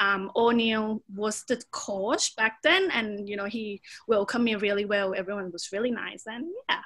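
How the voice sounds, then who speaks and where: A woman's fairly high pitch with a Thai accent, at a moderate pace and with ordinary pitch variation. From Thailand, Bangkok. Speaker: Muay Thai fighter and personal trainer. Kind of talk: podcast interview.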